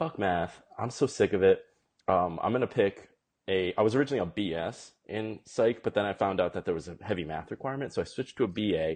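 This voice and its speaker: A man with an American accent speaks in a normal speaking voice at a fairly quick pace, with a fairly low pitch and lively intonation. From Massachusetts, US Northeast. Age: 20s. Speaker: Korean adoptee, ad agency executive. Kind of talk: casual chat.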